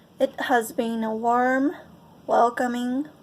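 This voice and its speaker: Speaking very slowly in a high pitch, a woman talks with a Japanese accent. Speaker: choir member. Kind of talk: testimony.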